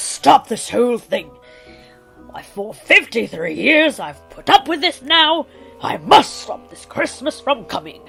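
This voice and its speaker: A woman growls in a put-on character voice at a fairly slow pace. Faint music plays in the background. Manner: snarling, sneering.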